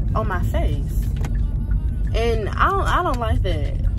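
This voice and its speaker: Clear music plays in the background while a woman talks at a fairly slow pace. Her sound is dry with no echo. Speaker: vlogger. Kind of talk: casual vlog chat. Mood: relaxed, chatty, laughing. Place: car. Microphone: phone near.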